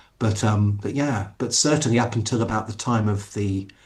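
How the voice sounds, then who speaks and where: In an English accent, a man speaks at a fairly low pitch, somewhat breathy. The background is quiet. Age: 50s. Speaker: writer. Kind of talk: interview.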